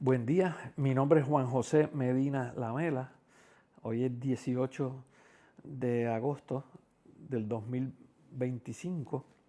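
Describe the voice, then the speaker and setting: A man's dark, mellow voice at medium pitch, with a Puerto Rican accent, very slow pace, and long, frequent pauses. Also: fairly even intonation. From Puerto Rico, Quebradillas. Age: 60s. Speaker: interviewee, community figure. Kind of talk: life-story interview. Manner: hesitant, many fillers.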